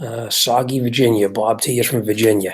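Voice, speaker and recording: Speaking with an American accent, a man uses a medium pitch. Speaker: car mechanic and livestream host. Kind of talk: casual live stream chat. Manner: halting, many fillers.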